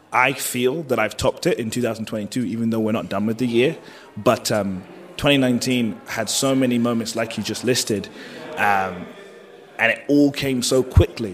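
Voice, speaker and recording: A man with a British accent speaks against noticeable background noise. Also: medium pitch for a man, ordinary pitch variation, moderate pace. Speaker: professional wrestler. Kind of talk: casual interview.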